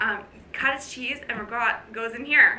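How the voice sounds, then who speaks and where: The recording carries audible room echo along with noticeable noise in the background. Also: woman. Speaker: fitness coach. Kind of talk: casual vlog talk. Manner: fast.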